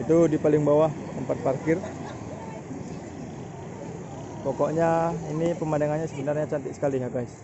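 Against noticeable background noise, a man speaks at a moderate pace with fairly even intonation in a dry sound with no echo. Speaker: vlogger. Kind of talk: casual vlog chat. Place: cafe. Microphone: phone near.

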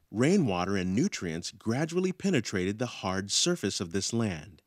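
A man's fairly low voice with very wide pitch swings, a moderate pace, a dry sound with no echo and a quiet background. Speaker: ride narrator. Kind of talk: scripted narration.

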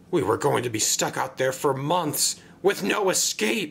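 A put-on character voice from a man, fairly high in pitch, at a moderate pace. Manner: panting, agitated.

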